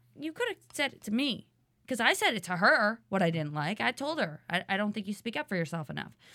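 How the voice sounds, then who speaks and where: A woman with an unremarkable speaking voice, medium in pitch, at a fairly quick pace, in a very clean recording with a silent background. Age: 30s. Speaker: former reality show contestant. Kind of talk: casual chat.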